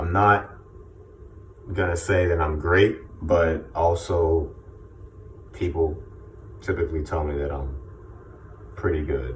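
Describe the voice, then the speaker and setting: Over noticeable background noise, a man talks at a fairly slow pace in a very deep, low voice with ordinary pitch variation. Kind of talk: casual talk to camera. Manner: informal, motivational.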